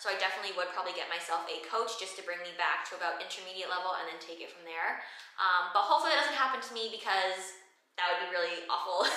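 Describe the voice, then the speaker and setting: A woman at a very fast pace amid audible room echo. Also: ordinary pitch variation, big swings in loudness. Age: 20s. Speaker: fitness trainer and content creator. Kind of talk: Q&A vlog. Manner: casual, animated. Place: gym.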